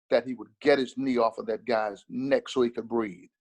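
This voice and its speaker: A man talks in a plain, everyday voice at a medium pitch with ordinary pitch variation. The sound is dry and close with no echo. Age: 60s. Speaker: minister. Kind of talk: interview. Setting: video call.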